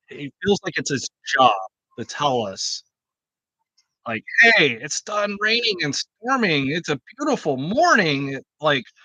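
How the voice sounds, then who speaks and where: Loud and high-pitched, a man talks at a fairly slow pace with very wide pitch swings and long, frequent pauses. The sound is dry and close, with no echo. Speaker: homebrewer and channel host. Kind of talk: livestream casual chat. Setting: outdoors under a canopy.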